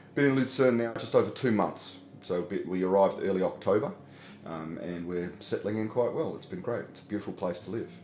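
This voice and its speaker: Talking at a fairly quick pace with lively intonation, a man is heard with audible room echo. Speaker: pastor. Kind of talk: interview. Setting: interview at a community centre.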